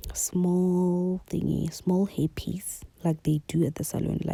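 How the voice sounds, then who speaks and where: The speaker is a woman. She is soft-spoken. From South Africa. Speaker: beauty YouTuber. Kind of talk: tutorial.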